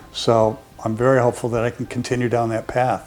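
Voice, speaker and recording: Noticeable background noise sits behind a man of medium pitch with an American accent. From US West Coast, San Francisco Bay Area. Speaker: patient giving testimonial, college instructor. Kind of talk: testimony. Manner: halting, with fillers and repetitions.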